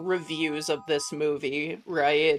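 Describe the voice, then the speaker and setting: Over music in the background, a woman speaks very slowly at a fairly low pitch with fairly even intonation. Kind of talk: clear broadcast-style.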